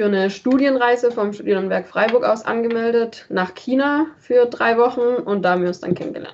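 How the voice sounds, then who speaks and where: This woman has a normal speaking voice, fairly high in pitch, with ordinary pitch variation. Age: 20s. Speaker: travel blogger, student. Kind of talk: casual chat.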